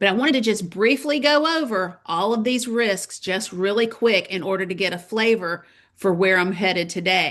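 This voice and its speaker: In a Southern US accent, a woman talks at a fairly slow pace with ordinary pitch variation. The background is quiet. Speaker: parent advocacy webinar host. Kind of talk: webinar presentation. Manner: casual, conversational.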